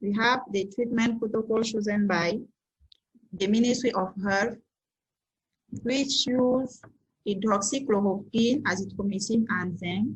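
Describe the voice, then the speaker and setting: A somewhat breathy woman with a fairly high pitch speaks slowly and at a very even loudness, with fairly even intonation, long, frequent pauses and audible room echo. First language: French. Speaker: scientist presenter. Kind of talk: conference presentation.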